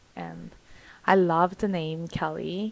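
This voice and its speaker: Speaking at a very slow pace, a woman with a fairly low pitch talks in a Korean accent. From South Korea. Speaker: vlogger. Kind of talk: personal vlog talk. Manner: halting, hesitant.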